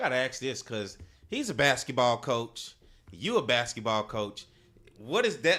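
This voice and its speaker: A man talks at a fairly slow pace, his loudness swinging widely. His voice sits at a medium pitch with a bright, sharp tone. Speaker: sports talk show host. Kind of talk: talk show.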